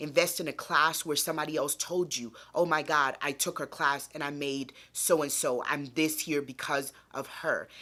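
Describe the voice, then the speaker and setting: In a very clean recording with a silent background, a woman with a very deep, low pitch and a bright, sharp tone speaks in a monotone, flat way at a moderate pace with hardly any pauses. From Nigeria. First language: not English (Nigerian language). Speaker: content creator, YouTuber. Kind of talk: casual advice vlog.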